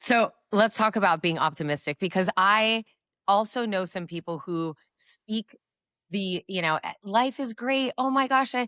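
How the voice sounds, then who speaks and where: Delivered at a fairly slow pace with lively intonation, the bright, sharp voice sounds dry and close with no echo in a very clean recording with a silent background. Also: woman, medium pitch for a woman. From US, Cuban-American family. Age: 40s. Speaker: podcast host. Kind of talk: interview conversation.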